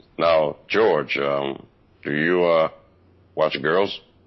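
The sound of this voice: This is a put-on character voice. The delivery is very slow. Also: man, very deep, low pitch for a man.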